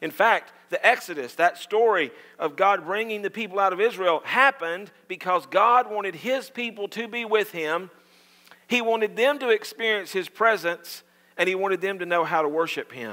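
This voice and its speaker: A man speaks in a raised, projected voice at a moderate pace with ordinary pitch variation against a quiet background. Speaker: pastor. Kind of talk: sermon. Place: church.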